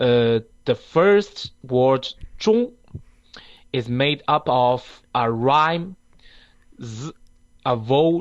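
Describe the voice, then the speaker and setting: A man talks with a Chinese accent at a fairly high pitch, his intonation lively. His loudness swings widely, and he leaves long, frequent pauses. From China. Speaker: student teacher. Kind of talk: lesson presentation. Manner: halting.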